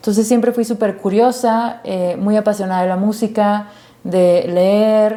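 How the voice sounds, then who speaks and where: Speaking fairly slowly, a woman with a fairly high voice keeps a monotone, flat intonation. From Monterrey, Mexico (San Pedro). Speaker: activist and producer. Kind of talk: interview.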